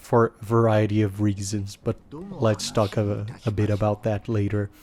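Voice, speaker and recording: Here a man speaks at a medium pitch. His tone is dark and mellow, and his pace is fairly slow. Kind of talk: gameplay guide commentary. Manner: hesitant, many fillers.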